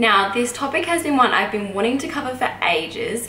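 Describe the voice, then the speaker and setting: A woman talks with an Australian accent at a fairly quick pace and with ordinary pitch variation. Light background noise and audible room echo come through. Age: 20s. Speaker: YouTuber, midwife and new mother. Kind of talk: vlog Q&A monologue. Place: home room.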